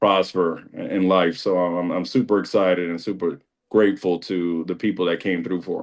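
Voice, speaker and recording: A man with a very deep, low pitch speaks at a moderate pace, his intonation fairly even. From New York City, Dominican background. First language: Spanish. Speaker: school district administrator. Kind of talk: interview testimony.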